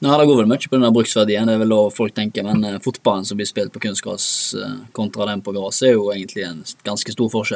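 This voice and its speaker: A man with an unremarkable speaking voice talks at a fairly low pitch. His pace is fairly quick and his intonation fairly even. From Norway, Bømlo (Hordaland). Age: 20s. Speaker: professional footballer. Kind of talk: interview. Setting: studio.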